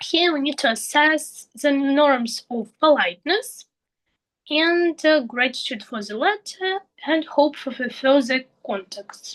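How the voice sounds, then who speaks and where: A woman speaks very slowly with a Russian accent. Her pitch is high and her intonation lively. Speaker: English teacher trainee. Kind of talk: tutorial. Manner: halting.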